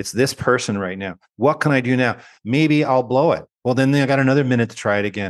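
A man's very fast speech at a medium pitch, with a Canadian accent, ordinary pitch variation and a quiet background. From Canada. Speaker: education researcher and author. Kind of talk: interview conversation.

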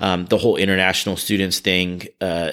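Over a silent background in a very clean recording, a man with a Californian accent speaks at a fairly quick pace in a fairly low pitch and a monotone, flat intonation. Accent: Californian American English. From US West Coast, California Bay Area. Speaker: charity director and prosecutor. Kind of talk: interview.

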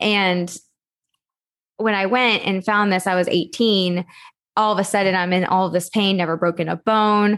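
Someone with an American accent speaks in monotone, flat intonation with very even loudness and long, frequent pauses against a quiet background. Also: woman, medium pitch for a woman, moderate pace. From Texas. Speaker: entrepreneur, organization coach. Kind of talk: podcast interview.

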